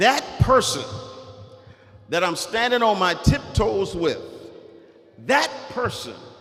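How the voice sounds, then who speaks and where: Noticeable background noise surrounds a man with an American accent, speaking in a high pitch at a fairly slow pace. His tone is animated and his intonation lively. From US South. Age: 60s. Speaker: author and guest speaker. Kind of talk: motivational speech to students. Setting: school assembly with audience. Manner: animated, interactive with audience.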